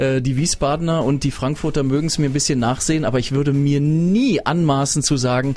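Music plays in the background as a man speaks. His pitch is fairly high and his pace fairly quick. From Swabia, Stuttgart area (early years in Berlin). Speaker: radio host. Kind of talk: casual chat. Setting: studio.

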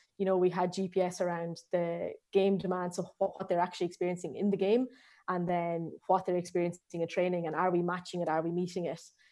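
Fairly low-pitched woman's voice in an Irish accent, dark and mellow, flat and monotone, at a very fast pace. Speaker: strength and conditioning coach. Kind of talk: interview. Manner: hesitant, many fillers.

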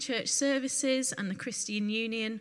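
A woman speaks with a northwest English accent. She keeps a moderate pace. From northwest England. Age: 20s. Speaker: testimony giver. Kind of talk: testimony. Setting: church.

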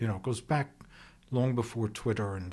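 Against a silent background in a very clean recording, a man sounds somewhat breathy with fairly even intonation. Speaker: podcast host. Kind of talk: interview.

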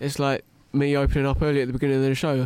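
With an English accent, a man talks at a very fast pace. The recording is very clean, with a silent background. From England. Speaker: university graduate. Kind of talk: casual discussion.

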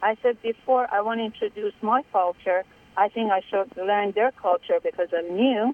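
A woman with a Persian accent speaks at a fairly high pitch with ordinary pitch variation. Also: moderate pace. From Iran. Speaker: caller, business owner. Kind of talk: phone-in opinion. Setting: phone call.

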